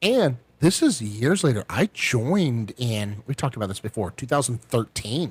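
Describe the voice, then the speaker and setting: Somewhat breathy, a man talks at a medium pitch and moderate pace with hardly any pauses. His intonation is lively, and the sound is dry and close with no echo. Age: 30s. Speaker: military veteran podcast host. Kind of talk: casual chat.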